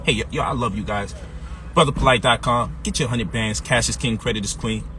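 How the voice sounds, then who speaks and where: A man with an American accent speaks in a fairly low pitch and an animated tone over noticeable background noise. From Brooklyn, New York (Brownsville, East New York). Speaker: financial coach and author. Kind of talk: motivational sales pitch. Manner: animated, street-casual.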